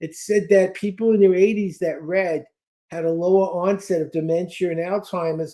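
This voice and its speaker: In an American accent, a man with a high pitch and a dark, mellow tone speaks at a moderate pace in a monotone, flat intonation. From US Northeast (Brooklyn, New York). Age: 70s. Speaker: speed-reading trainer and author. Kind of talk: interview.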